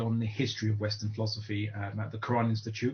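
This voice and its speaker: Somewhat breathy and medium in pitch, a man speaks at a fairly quick pace with a British accent. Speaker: Islamic lecturer. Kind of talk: online lecture. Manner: halting, many fillers.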